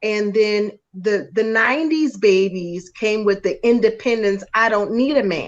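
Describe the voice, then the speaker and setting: A woman with an American accent and a plain, everyday voice speaks at a fairly slow pace with hardly any pauses. Her voice is fairly high-pitched, with ordinary pitch variation. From New York. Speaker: guest commentator. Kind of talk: casual live-stream discussion.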